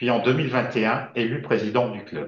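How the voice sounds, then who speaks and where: The room echo is audible as a man talks at a moderate pace. His medium-pitched voice is somewhat breathy. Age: 60s. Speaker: service club district governor-elect, retired banker. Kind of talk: prepared video presentation. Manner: formal.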